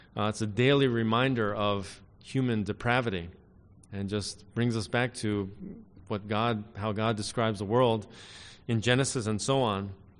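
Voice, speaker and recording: Audible room echo around a man's fairly even intonation. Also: moderate pace. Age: 50s. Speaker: pastor. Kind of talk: sermon. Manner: frequent filler words.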